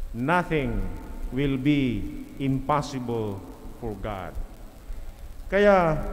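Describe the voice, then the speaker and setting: A man speaking at a very slow pace, with very wide pitch swings over light background noise. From Philippines. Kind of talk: sermon. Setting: church. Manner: earnest, steady, teacherly, with rhetorical questions; warm, pastoral, mixes Tagalog and English. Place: church. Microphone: podium.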